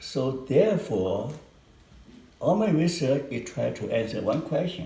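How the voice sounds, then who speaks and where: Heard with audible room echo, a man with a Chinese accent speaks at a fairly slow pace with a fairly high pitch and very wide pitch swings. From China and Hong Kong. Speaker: psychologist professor. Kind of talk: research interview. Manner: slow and clear.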